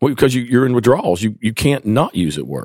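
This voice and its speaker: A man's medium-pitched voice with an East Tennessee accent, vocal fry and ordinary pitch variation. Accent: Southern US, East Tennessee Appalachian. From East Tennessee, rural Appalachia. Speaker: physician in addiction recovery. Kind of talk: interview, personal testimony.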